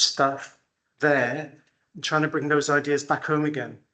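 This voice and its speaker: A man's bright, sharp tone with fairly high pitch, monotone, flat intonation and moderate pace. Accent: Welsh. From Wales, Pembrokeshire. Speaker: care farm owner. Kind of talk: conference talk. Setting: conference hall with microphone.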